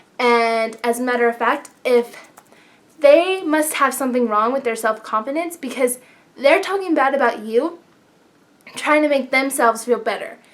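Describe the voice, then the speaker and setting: Over noticeable background noise, a loud, animated voice goes at a moderate pace with ordinary pitch variation. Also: woman, high pitch for a woman. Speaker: beauty vlogger. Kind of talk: casual advice vlog.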